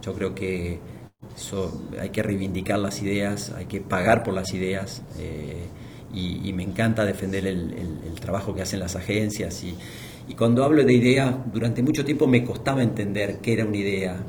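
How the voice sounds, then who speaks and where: A man with an Argentine accent speaks at a moderate pace, fairly low in pitch with ordinary pitch variation. The room has audible echo, and background noise is noticeable. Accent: Argentine Spanish (Rioplatense, voseo). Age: 50s. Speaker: marketing executive. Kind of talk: interview. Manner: halting, many fillers and repetitions.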